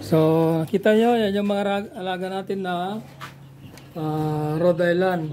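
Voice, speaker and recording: A man speaks at a fairly slow pace with a high pitch and fairly even intonation. Long, frequent pauses break up his speech over light background noise. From Philippines. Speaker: backyard poultry farmer and vlogger. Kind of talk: casual vlog walkthrough; casual vlog chat. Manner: halting, many fillers. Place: farm. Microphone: phone near.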